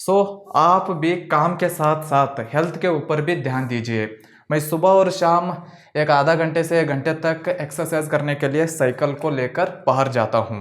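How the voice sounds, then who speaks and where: A man's fairly high-pitched voice with a non-native accent. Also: ordinary pitch variation. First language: not Hindi (speaking Hindi). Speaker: filmmaker and video editing teacher. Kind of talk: casual home and studio tour vlog.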